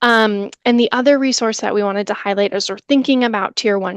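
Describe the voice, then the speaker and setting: Over a quiet background, a woman has an unremarkable speaking voice at a fairly high pitch, with ordinary pitch variation and a dry, close sound with no echo. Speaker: education trainer presenting a webinar. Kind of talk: webinar presentation.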